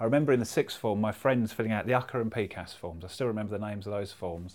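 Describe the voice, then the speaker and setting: A man with a London accent, medium in pitch, at a very fast pace. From North London. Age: 40s. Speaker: artist and speaker. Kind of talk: casual chat. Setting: in person in London.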